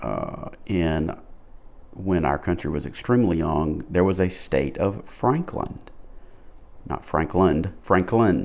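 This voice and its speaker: In a Southern US accent, a man with a very deep, low pitch and vocal fry talks at a fairly slow pace, leaving long, frequent pauses. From Alabama. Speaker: pipe smoking vlogger. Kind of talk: casual monologue. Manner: low energy.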